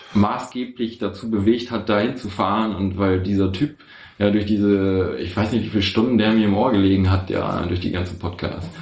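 With audible room echo, a man speaks at a moderate pace, his fairly low pitch held in fairly even intonation. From northern Germany, Osnabrück area. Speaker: chronic pain patient. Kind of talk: casual chat. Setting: shared table mic, several people in one room. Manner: halting. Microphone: poor audio quality.

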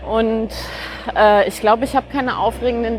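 There is noticeable background noise. A woman speaks in a monotone, flat intonation at a fairly high pitch. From Franconia, near Nuremberg, Germany. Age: 40s. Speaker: author. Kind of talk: casual conversation. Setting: outdoors, walking through Berlin park. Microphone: occasional echo.

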